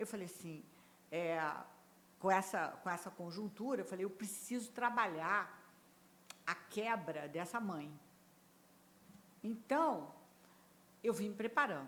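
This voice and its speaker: Speaking fairly slowly in a Rio de Janeiro accent, a woman leaves long, frequent pauses. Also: medium pitch for a woman, lively intonation. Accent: carioca. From Rio de Janeiro, Brazil. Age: 70s. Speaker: HR executive. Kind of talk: podcast interview.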